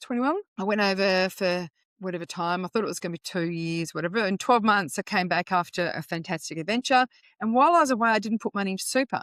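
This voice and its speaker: Very fast speech from a woman with an Australian accent, medium in pitch with ordinary pitch variation, in a dry, close sound with no echo. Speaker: financial educator. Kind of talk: podcast interview.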